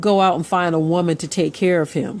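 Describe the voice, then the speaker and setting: A woman with a normal speaking voice and a fairly low pitch uses ordinary pitch variation, recorded very cleanly against a silent background. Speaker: religious commentator. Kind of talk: casual commentary to camera.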